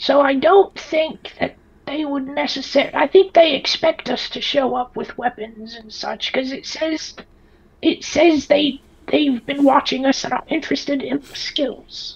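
The voice is high-pitched and moves at a moderate pace. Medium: actual play. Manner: resigned, dry, matter-of-fact.

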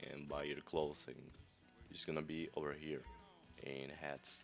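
Music plays in the background as a man with a very deep, low pitch speaks at a fairly slow pace with a non-native accent. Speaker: gamer. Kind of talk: casual gameplay tutorial.

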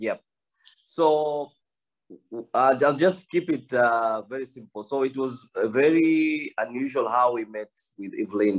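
Very slow speech from a man, set against a quiet background. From Kenya. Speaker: study abroad agent. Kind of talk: presentation. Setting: video call. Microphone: video call.

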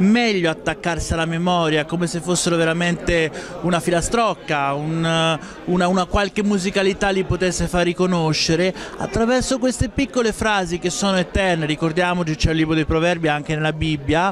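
A high-pitched male voice at a fairly quick pace, with ordinary pitch variation, a dry sound with no echo and light background noise. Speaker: speaker. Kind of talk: interview answer. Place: hall. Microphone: handheld.

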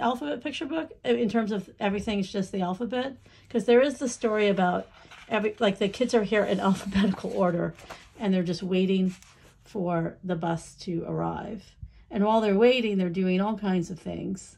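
Speaking fairly quickly, a woman uses lively intonation. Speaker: book reviewer. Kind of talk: casual book unboxing review. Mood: warm, enthusiastic. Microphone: phone near.

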